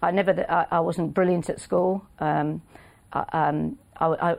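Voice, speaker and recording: In a quiet background, a woman with a plain, everyday voice speaks at a fairly low pitch and with fairly even intonation. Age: 50s. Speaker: racehorse trainer. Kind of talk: casual interview. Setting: studio.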